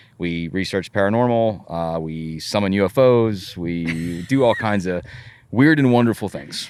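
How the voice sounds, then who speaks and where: On a very clean recording with a silent background, a man with a very deep, low pitch speaks at a fairly slow pace and with lively intonation. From US, moved around; born in Texas. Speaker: paranormal investigator. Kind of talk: casual chat.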